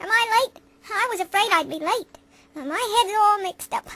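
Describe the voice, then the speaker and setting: Squeaky and extremely high-pitched, a woman's put-on character voice moves at a moderate pace. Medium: solo performance. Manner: slow, dim-witted.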